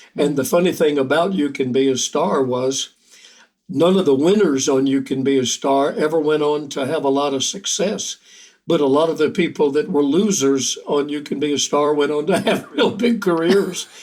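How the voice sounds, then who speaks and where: With a Southern US accent and a fairly high pitch, a man speaks on a very clean recording with a silent background. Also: ordinary pitch variation, moderate pace. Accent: Southern American. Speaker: country songwriter and singer. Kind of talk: interview answer. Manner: soft-spoken.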